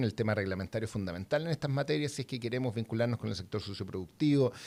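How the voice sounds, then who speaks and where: A man speaks with ordinary pitch variation. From southern Chile. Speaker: university innovation director. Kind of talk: interview.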